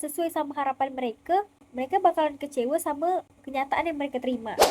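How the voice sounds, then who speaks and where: A woman with a high pitch speaks at a moderate pace. Her tone is dark and mellow. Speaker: university student. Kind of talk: student presentation video. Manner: casual.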